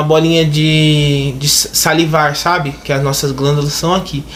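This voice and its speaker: A man's fairly high voice with fairly even intonation, noticeable background noise and audible room echo. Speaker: YouTuber. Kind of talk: casual vlog.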